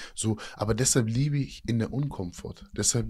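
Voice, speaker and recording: In a dark, mellow tone, a man talks at a fairly low pitch with ordinary pitch variation. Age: 30s. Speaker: fitness and mindset coach, former inmate. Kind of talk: casual interview. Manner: animated.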